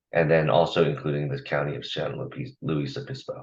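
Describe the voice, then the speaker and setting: A man talks in a very deep, low voice with vocal fry. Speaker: agency staff presenter. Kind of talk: formal presentation at public meeting. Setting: public commission meeting. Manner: halting with fillers.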